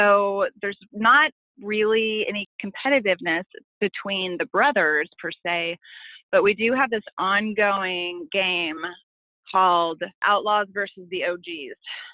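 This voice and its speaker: A woman with an American accent talks at a fairly slow pace in an unremarkable speaking voice. Her pitch sits at a medium level with ordinary pitch variation. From Oklahoma City. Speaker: coach's wife. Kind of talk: interview.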